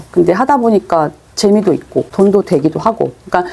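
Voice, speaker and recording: This is a woman speaking. Her pitch is medium. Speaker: online selling instructor. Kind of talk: lecture. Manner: fast.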